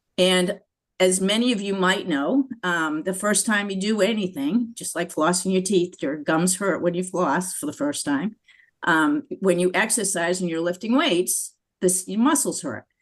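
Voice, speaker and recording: A woman's medium-pitched voice with ordinary pitch variation, at a moderate pace. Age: 60s. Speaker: dentist. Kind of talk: webinar testimony. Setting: video webinar. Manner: halting.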